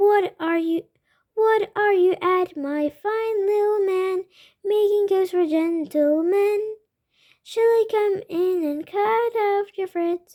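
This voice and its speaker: Using a put-on character voice, a woman speaks very slowly in an extremely high, squeaky pitch. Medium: read story.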